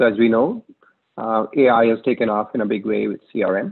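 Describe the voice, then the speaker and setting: The voice has ordinary pitch variation over a quiet background. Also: man. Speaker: presenter. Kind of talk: conference talk. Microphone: webcam.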